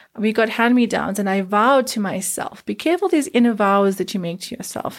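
A woman's fairly high, passionate voice at a moderate pace in a very clean recording with a silent background. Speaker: podcast host and life coach. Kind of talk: motivational monologue.

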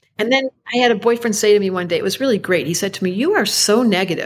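A woman talks very fast in an animated tone, her medium-pitched voice showing ordinary pitch variation. The recording is very clean, with a silent background. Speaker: astrologer. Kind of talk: casual chat.

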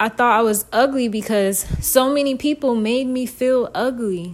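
A woman with a high pitch talks at a fairly slow pace, her intonation lively. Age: 20s. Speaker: podcaster. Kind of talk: personal monologue.

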